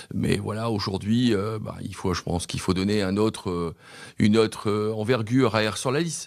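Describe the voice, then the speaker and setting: The man's pitch is fairly low. He speaks at a moderate pace with fairly even intonation. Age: 60s. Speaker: mayoral candidate. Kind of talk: radio interview. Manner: halting, many hesitations.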